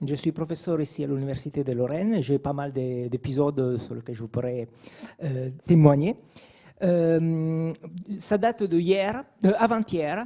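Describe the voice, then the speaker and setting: Using a fairly high pitch and a dark, mellow tone, a man speaks at a fairly slow pace with lively intonation. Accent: non-native. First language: not French (speaking French). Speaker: audience member, university professor. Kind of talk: audience question. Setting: lecture hall with audience. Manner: halting.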